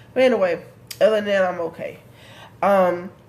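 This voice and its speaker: The speaker is a woman at a fairly quick pace. Room echo can be heard. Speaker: vlogger. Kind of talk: casual vlog update.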